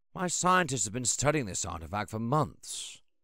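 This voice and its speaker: Putting on a raspy character voice, a man at medium pitch swings very widely up and down, recorded very cleanly with a silent background. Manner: eager, enthusiastic, earnest.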